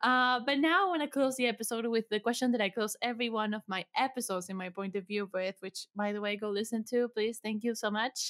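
Speaking very fast with hardly any pauses, a woman with a non-native accent uses a fairly high voice and ordinary pitch variation, recorded dry and close with no echo. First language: not English. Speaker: podcast producer. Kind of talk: casual interview.

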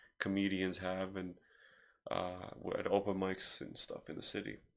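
A man speaks with a Slavic accent. His pace is moderate. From Ukraine. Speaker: podcast host. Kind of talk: casual chat.

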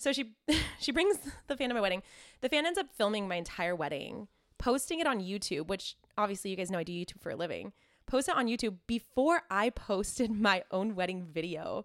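A woman speaks at medium pitch and a fairly quick pace, with very wide pitch swings. The recording is very clean, with a silent background. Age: 20s. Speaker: podcast co-host. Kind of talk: casual chat.

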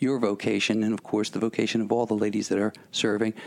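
There is noticeable background noise behind this man. He talks at a very fast pace with an American accent. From Philadelphia. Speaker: radio host. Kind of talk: radio interview.

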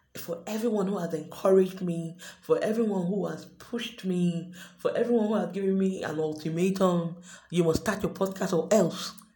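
The pace is moderate. Noticeable background noise and audible room echo can be heard. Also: woman, medium pitch for a woman, fairly even intonation. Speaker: podcast host. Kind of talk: unscripted monologue.

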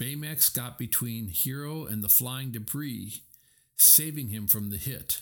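Pitch variation is ordinary. It is an unforced reading voice.

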